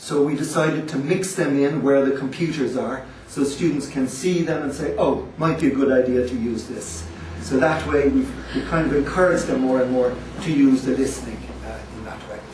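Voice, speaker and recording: Noticeable background noise and audible room echo surround a man speaking at a moderate pace in a fairly high pitch with ordinary pitch variation. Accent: Dublin. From Ireland, Dublin. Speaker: language school director. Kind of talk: presentation to visiting agents.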